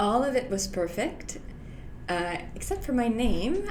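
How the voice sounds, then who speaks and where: A woman with a French-Canadian accent talks at a fairly slow pace, with audible room echo and noticeable background noise. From Quebec, Canada (Montreal). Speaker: health insurance broker and former lawyer. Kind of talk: interview.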